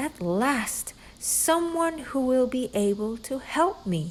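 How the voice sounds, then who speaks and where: Using a put-on character voice, a woman speaks high and fairly slowly while clear background noise runs behind her. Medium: read story.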